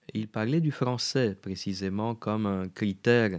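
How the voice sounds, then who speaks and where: A man at a very slow pace, fairly low in pitch, fairly even in intonation, against a quiet background. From Romania. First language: Romanian (speaking French). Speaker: radio host. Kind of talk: interview. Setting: studio. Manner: halting.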